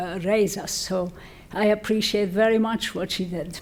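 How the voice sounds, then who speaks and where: Fairly high in pitch, a woman with a Lebanese accent talks at a fairly slow pace. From Lebanon. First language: French or Arabic. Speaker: physician and medical researcher. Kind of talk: ceremony acceptance speech.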